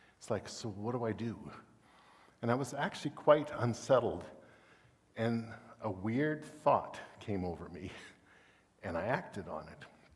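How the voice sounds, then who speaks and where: A man's medium-pitched, somewhat breathy voice at a moderate pace, with lively intonation, big swings in loudness, long, frequent pauses and audible room echo. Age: 60s. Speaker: guest preacher. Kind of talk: sermon. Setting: church.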